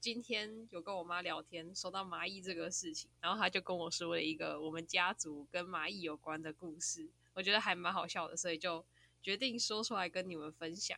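A woman talks at a fairly quick pace in a bright, sharp tone. Vocal fry runs through her voice. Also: fairly low pitch for a woman, ordinary pitch variation. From Taiwan, Taichung. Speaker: podcast host. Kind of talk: casual chat.

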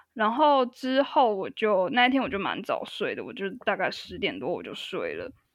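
A woman speaks at a moderate pace. She hardly pauses. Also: big swings in loudness. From Taiwan (Tainan). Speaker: podcast guest, musician. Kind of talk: casual chat.

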